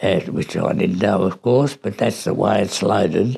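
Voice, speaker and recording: This man's voice sits fairly low. He has an Australian accent. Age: 80s+. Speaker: war veteran. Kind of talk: interview answer.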